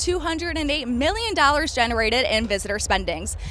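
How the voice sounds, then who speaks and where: Over noticeable background noise, a woman speaks at a fairly quick pace with a high pitch and lively intonation. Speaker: sports reporter and news anchor. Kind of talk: live shot reporter package.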